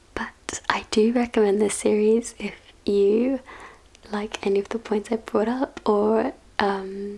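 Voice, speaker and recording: Someone soft-spoken talks very slowly with a British accent, with noticeable background noise around them. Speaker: ASMR book reviewer. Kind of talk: casual spoken book review. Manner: hesitant, many fillers.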